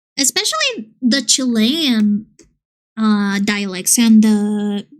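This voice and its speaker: A woman with a Colombian accent, fairly high in pitch, at a very slow pace. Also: ordinary pitch variation. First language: Spanish. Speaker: streamer and illustrator. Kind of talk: casual chat.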